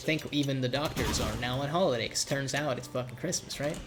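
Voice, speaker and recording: Noticeable background noise fills the recording. The talking itself goes at a fairly quick pace. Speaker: video game streamer. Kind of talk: gameplay live stream commentary. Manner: casual, repetitive with frequent restarts.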